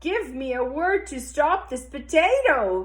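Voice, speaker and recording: The speaker uses a put-on character voice with a high pitch and an energetic tone at a fairly slow pace. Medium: read story. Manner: energetic, exclamatory.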